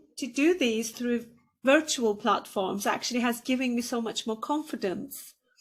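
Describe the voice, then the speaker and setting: A woman's high voice with ordinary pitch variation, a Turkish accent and a fairly slow pace, on a very clean recording with a silent background. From Turkey. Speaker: podcast host. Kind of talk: interview.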